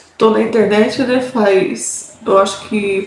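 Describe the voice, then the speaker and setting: A woman speaks at a very slow pace and fairly high pitch. The room echoes audibly, and background noise is noticeable. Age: 30s. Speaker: vlogger. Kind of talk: personal testimony. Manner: casual, hesitant.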